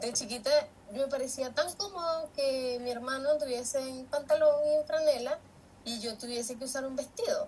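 A woman's high-pitched voice at a moderate pace, with ordinary pitch variation over noticeable background noise. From Venezuela, San Felipe, Yaracuy. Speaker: retail worker. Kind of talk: panel talk.

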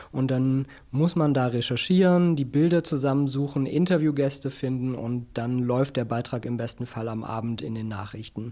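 A man with a dark, mellow tone talks at a moderate pace and medium pitch, with ordinary pitch variation and hardly any pauses. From Berlin. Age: 40s. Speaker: business journalist and media founder. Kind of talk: interview.

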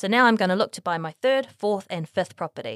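A woman with a New Zealand accent speaks at a fairly quick pace, with medium pitch and lively intonation. The recording is very clean and dry, close with no echo, over a silent background. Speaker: property investment podcast host. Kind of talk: scripted narration. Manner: reading aloud.

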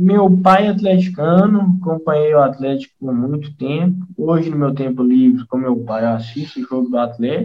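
Somewhat breathy and fairly high-pitched, a man talks with lively intonation and hardly any pauses. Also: moderate pace. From Minas Gerais, Brazil (Brumadinho, raised in Nova Lima). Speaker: football fan, amateur player. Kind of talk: casual chat.

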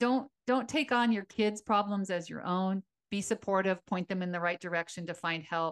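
In a dry, close recording with no echo and a quiet background, a woman talks at a moderate pace in a normal speaking voice, her pitch medium with ordinary variation. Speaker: retired teacher, podcast co-host. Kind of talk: casual chat.

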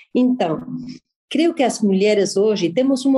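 A woman with a Spanish accent talks in a fairly high pitch and a dark, mellow tone. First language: Spanish (speaking Portuguese). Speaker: journalist and business event organizer. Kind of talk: interview.

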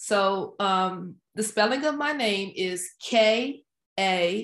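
The woman has an American accent and a medium pitch. Her pitch variation is ordinary. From Washington DC area. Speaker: project manager and author. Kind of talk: casual interview.

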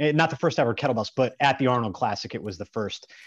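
A man with a Midwestern American accent speaks against a quiet background. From US Midwest, small-town northeast Ohio. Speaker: strength and grip coach. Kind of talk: casual interview chat.

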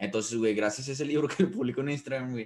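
The pitch of this man's voice is medium, with ordinary variation. He speaks at a very fast pace. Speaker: podcast co-host. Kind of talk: casual chat. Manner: halting, many repetitions.

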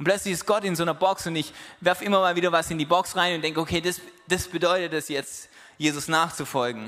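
Music plays behind a man talking at a very fast pace. His pitch is high. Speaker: preacher. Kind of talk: sermon. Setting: church. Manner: animated, conversational, warm and encouraging; direct and persuasive, quoting Jesus in casual voice.

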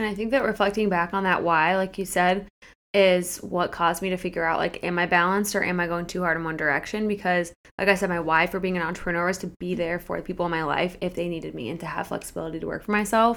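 Speaking at a very fast pace, a woman talks with a Midwestern American accent. Her intonation is fairly even. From US Midwest, Akron, Ohio. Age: 20s. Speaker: fitness coach and podcast co-host. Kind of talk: casual interview chat.

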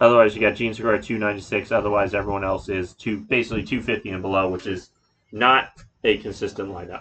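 This man has a normal speaking voice with a fairly low pitch. He talks at a fairly quick pace with fairly even intonation. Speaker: podcast host. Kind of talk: casual chat.

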